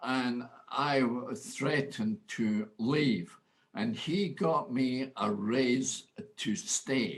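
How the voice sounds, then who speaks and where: Very wide pitch swings mark this very slow delivery in a Scottish accent. The loudness stays very even. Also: man, medium pitch for a man. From Scotland. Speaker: motivational speaker. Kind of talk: interview answer.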